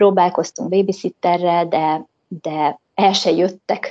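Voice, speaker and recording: A woman with a fairly low pitch and a dark, mellow tone at a fairly slow pace. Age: 30s. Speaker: returning emigrant, mother. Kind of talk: interview.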